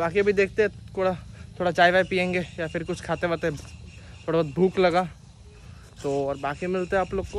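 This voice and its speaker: Speaking at a fairly slow pace and a high pitch, a man sounds dry with no echo over light background noise. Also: fairly even intonation. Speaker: motovlogger. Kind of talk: casual vlog chat. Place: waterside. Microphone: phone near.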